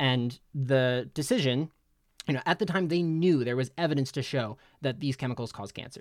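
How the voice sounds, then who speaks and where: With an American accent, a man speaks in an unremarkable speaking voice at a moderate pace, his pitch fairly high with ordinary variation. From New Jersey (Middletown). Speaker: nonprofit grants worker, paper author. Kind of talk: casual interview chat. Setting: video call.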